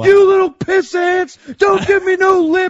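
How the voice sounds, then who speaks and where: A man speaks at a fairly slow pace in a put-on character voice pitched extremely high. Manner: shouting, harsh.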